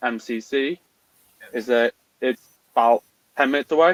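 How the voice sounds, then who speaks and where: The sound is dry and close, with no echo. The speaker has an English accent and ordinary pitch variation. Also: man. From England, Newcastle-under-Lyme, Staffordshire. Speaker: RC car racer. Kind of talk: casual interview chat.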